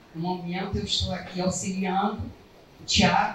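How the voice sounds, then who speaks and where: Background noise is noticeable, and room echo can be heard. A woman talks at a fairly slow pace. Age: 70s. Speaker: literary association administrator. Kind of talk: speech at a meeting.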